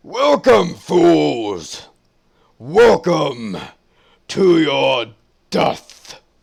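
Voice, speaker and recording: A man in a raspy, put-on character voice speaks very slowly at a medium pitch, leaving long, frequent pauses. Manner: menacing.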